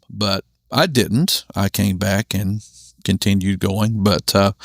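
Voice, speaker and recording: A man with a Southern US accent speaks at a fairly low pitch. The recording is very clean, silent in the background, dry and close with no echo. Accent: authentic Southern. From US South, Charlotte, North Carolina. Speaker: former Bible college student, minister. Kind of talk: casual interview chat. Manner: halting, many fillers and restarts.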